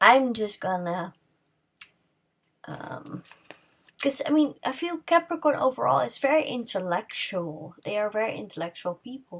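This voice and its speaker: With a non-native accent, a woman talks at a fairly slow pace and fairly high pitch, with very wide pitch swings, big swings in loudness and long, frequent pauses. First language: not English. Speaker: tarot reader. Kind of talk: tarot reading to camera. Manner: halting, many fillers and restarts.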